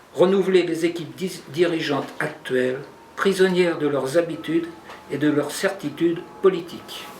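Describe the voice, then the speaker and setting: With audible room echo and noticeable background noise, a high-pitched man talks at a moderate pace with fairly even intonation. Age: 60s. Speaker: political candidate, general practitioner. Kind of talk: press conference statement. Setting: press conference. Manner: formal.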